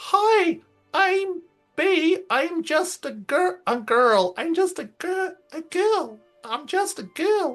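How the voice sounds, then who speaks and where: Faint music plays in the background as a squeaky, put-on character voice speaks at an extremely high pitch and a very slow pace. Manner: repeating the phrase in a teasing way.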